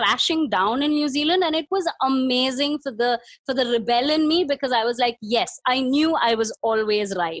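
This woman's high-pitched voice has lively intonation and very even loudness, moving at a moderate pace with hardly any pauses. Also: dry, close sound with no echo. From India. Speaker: nonprofit worker on women's nutrition. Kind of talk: interview. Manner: hesitant, many fillers.

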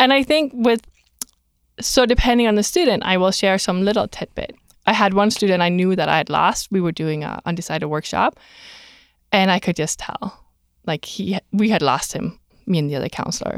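Lively intonation at a fairly quick pace, in a dry, close recording with no echo and a silent, very clean background. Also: woman, medium pitch for a woman. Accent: slight non-native. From outside the US. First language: not English. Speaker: career counselor. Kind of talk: casual interview. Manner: animated.

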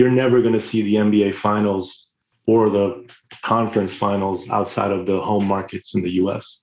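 Speaking at a moderate pace, a man uses a plain, everyday voice pitched fairly low. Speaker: sports industry executive. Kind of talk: interview answers.

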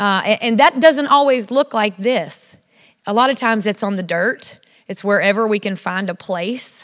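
With a Southern accent, a woman speaks in a fairly high, animated voice at a moderate pace with ordinary pitch variation. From South Louisiana. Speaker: women's ministry speaker, ranch worker. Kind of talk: sermon. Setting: church with audience.

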